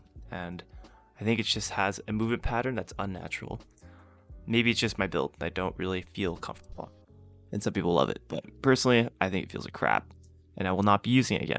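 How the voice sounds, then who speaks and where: Over music in the background, a man with a fairly low voice talks very fast, with ordinary pitch variation and long, frequent pauses. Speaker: fitness YouTuber, powerlifter. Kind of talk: casual workout commentary voice-over. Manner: casual, joking.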